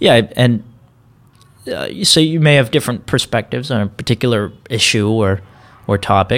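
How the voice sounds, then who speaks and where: Speaking with an American accent, a man uses a medium pitch, ordinary pitch variation and a moderate pace, with long, frequent pauses. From Texas. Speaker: college student. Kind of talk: interview. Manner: halting, frequent repetitions.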